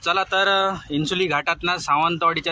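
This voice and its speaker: A monotone, flat intonation in a Konkan accent. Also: man. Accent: Malvani. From Konkan, Maharashtra. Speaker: truck driver. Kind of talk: casual vlog narration while driving.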